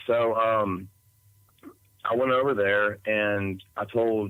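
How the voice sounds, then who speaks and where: A man with an Appalachian accent speaks in a fairly low, bright, sharp tone with monotone, flat intonation. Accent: Southern US (Appalachian). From East Tennessee. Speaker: eyewitness storyteller. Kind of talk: podcast interview testimony. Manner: halting, many fillers.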